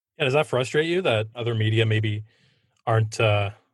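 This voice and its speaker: Against a quiet background, a man with a fairly low, somewhat breathy voice speaks at a fairly quick pace. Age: 30s. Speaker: sports podcast host. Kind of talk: interview.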